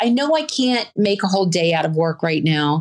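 With an American accent and an ordinary speaking voice, the speaker keeps a moderate pace and lively intonation. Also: woman. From US South. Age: 50s. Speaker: person living with a chronic illness. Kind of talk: interview. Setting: video call.

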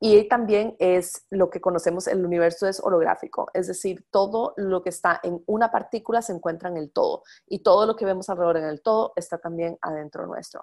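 A woman's plain, everyday voice at a medium pitch, with fairly even intonation and a fairly quick pace. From Costa Rica. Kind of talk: lecture. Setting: live call.

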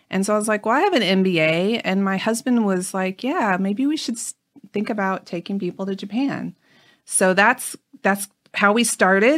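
A plain, everyday voice with ordinary pitch variation comes through in a very clean, dry, close recording with a silent background and no echo. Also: woman, medium pitch for a woman, moderate pace. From US Midwest. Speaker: tour guide and travel company founder. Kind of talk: interview. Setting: in person.

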